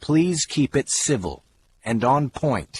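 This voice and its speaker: In a put-on character voice, a man with a medium pitch speaks at a fairly slow pace with lively intonation, the sound dry and close with no echo. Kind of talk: courtroom speech. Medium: read story. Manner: firm, formal.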